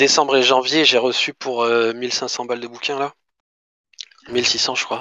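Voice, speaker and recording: A man's medium-pitched voice at a fairly slow pace, flat and monotone, with long, frequent pauses. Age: 30s. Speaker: manga collector. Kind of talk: casual chat.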